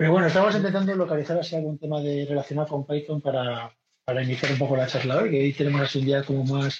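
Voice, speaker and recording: A somewhat breathy man's voice at a fairly high pitch, with ordinary pitch variation. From Galicia, Spain (Vigo). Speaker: podcast host and community organizer. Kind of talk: casual chat. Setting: video call.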